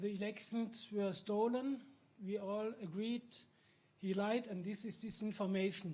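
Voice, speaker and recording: Speaking at a fairly slow pace, a man with a German accent uses a high pitch. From Germany. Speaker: journalist, audience member. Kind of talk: audience question.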